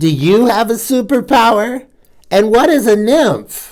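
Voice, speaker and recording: A female-sounding, put-on character voice comes through squeaky and fairly high in pitch for a woman, moving at a fairly slow pace. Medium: read story.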